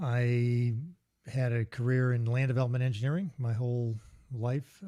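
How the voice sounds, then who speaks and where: A man uses a normal speaking voice and talks at a medium speed. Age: 60s. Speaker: engineer and outdoor gear company founder, author. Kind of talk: casual interview chat. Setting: live podcast.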